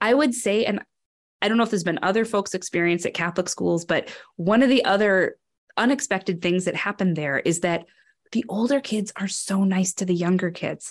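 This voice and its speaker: A woman with an American accent has a normal speaking voice at a medium pitch, with ordinary pitch variation. She talks at a fairly quick pace over a quiet background. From northern Wisconsin, US. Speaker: education program director. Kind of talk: interview.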